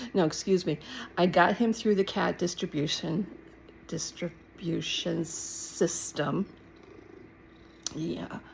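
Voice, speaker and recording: Using vocal fry, a woman speaks at a very slow pace and fairly low pitch, with fairly even intonation and long, frequent pauses. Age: 60s. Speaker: vlogger sharing personal mental health journey. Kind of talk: casual personal vlog monologue. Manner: halting, many fillers and self-corrections.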